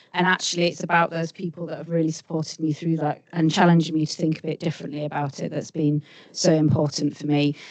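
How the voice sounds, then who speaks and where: Against noticeable background noise, a woman with a very deep, low pitch talks at a very fast pace in a monotone, flat intonation. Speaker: senior rail sector leader. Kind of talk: panel discussion.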